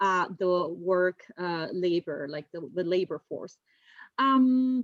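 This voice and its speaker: With a Spanish accent, a woman speaks at medium pitch. Her intonation is lively and her pace very slow. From Spain. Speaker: university admissions officer. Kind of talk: webinar presentation.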